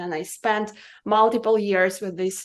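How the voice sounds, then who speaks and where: Monotone, flat female speech in a Russian accent, at a medium pitch and moderate pace, with a quiet background. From Russia, Siberia (Irkutsk). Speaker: cannabis business consultant. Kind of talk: podcast interview.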